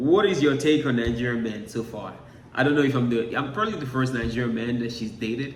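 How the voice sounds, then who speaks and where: Amid noticeable background noise and audible room echo, a man at a medium pitch talks very fast with ordinary pitch variation. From Nigeria. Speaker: YouTuber, social media entertainer. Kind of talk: casual chat.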